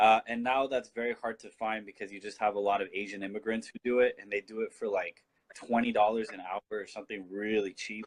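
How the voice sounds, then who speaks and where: A man's fairly low voice with a Californian accent, fairly even intonation, and a dry, close sound with no echo. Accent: Californian American English. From southern California, Mission Viejo. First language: Spanish. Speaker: political activist. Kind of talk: casual chat.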